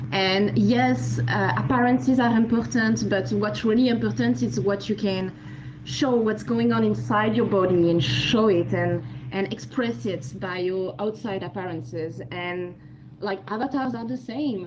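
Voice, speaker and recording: A woman at medium pitch speaks at a fairly slow pace with very wide pitch swings. Audible room echo and noticeable background noise fill the recording. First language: not English. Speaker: audience participant. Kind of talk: casual discussion.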